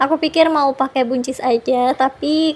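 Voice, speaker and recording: A woman's high voice holds a monotone, flat intonation amid noticeable background noise. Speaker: homemaker vlogger. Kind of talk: vlog voiceover narration. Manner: casual, chatty.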